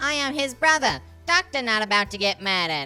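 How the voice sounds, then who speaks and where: Over faint background music, a woman performs a put-on character voice at a fairly high pitch with very wide pitch swings and a fairly quick pace. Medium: audio drama.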